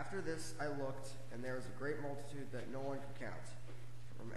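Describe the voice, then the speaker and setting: A man talks at a fairly quick clip in a flat, monotone voice, with audible room echo. Noticeable background noise runs underneath. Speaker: reader at lectern. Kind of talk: scripture reading. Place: church. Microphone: camera far.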